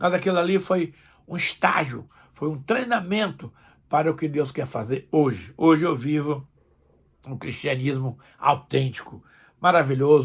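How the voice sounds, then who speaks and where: On a very clean recording with a silent background, a man with a fairly high pitch speaks fairly slowly, somewhat breathy, with ordinary pitch variation and long, frequent pauses. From Brazil, Northeast. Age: 70s. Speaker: pastor. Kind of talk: sermon. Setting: recorded video message.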